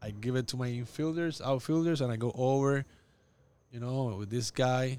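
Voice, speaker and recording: At a moderate pace, a man speaks in a medium pitch with fairly even intonation on a very clean recording with a silent background. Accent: Puerto Rican. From Puerto Rico. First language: Spanish. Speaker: baseball coach. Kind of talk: casual interview.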